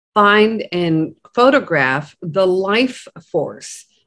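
Against a quiet background, a woman speaks at a very slow pace with lively intonation. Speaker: co-host. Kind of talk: casual conversation. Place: home room. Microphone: video call.

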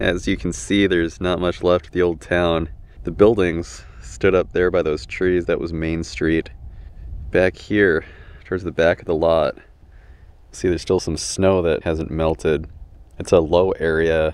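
A man talks in a very deep, low voice at a fairly slow pace. His pitch varies in an ordinary way, and the sound is dry with no echo. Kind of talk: casual vlog commentary. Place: open country.

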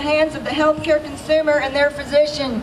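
Crowd noise fills the background as a woman speaks with a high pitch. Her intonation stays fairly even. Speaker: rally speaker. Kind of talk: rally speech. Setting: outdoor protest rally. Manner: emphatic, rousing, declamatory. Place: open country. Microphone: pa.

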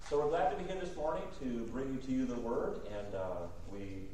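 Audible room echo surrounds a man talking at a fairly quick pace. Light background noise is present too. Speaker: guest preacher. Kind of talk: sermon. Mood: warm, friendly. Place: church.

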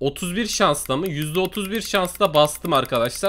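Here a man speaks at a fairly slow pace. His high-pitched voice has a bright, sharp tone. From Turkey. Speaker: gaming YouTuber. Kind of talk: angry rant. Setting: screen-recorded voiceover. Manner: animated; loud, swearing. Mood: frustrated after losing money. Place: home room. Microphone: headset.

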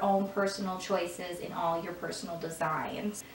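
A woman with a Michigan accent amid light background noise and audible room echo. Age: 20s. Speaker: lifestyle YouTuber. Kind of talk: casual talk to camera. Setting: echoey room. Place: home room.

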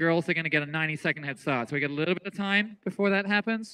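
High-pitched, a man speaks with a bright, sharp tone and ordinary pitch variation. His delivery is animated. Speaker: track meet announcer. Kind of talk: live race commentary. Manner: animated, excitable. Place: stadium.

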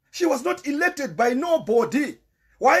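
Lively intonation and an animated tone, in a Zimbabwean accent. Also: man. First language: Shona. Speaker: political commentator. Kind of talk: live-stream political monologue. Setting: live stream. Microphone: volume problems early on.

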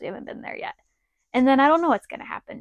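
A woman's fairly even intonation, dry with no echo, over a quiet background. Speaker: RV vlogger. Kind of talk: casual vlog chat. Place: home room. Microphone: lapel.

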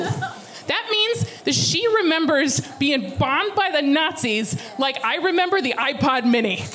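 Over light background noise, a woman with a high pitch talks at a fairly slow pace in an animated tone, her pitch swinging very widely. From Alaska, USA. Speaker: stand-up comedian. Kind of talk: stand-up comedy set. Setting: live theater audience. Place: stage. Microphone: handheld.

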